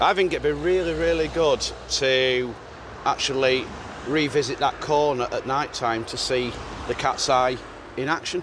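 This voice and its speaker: Amid noticeable background noise, a man with a fairly high voice and ordinary pitch variation speaks at a fairly slow pace. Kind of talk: casual documentary talk to camera.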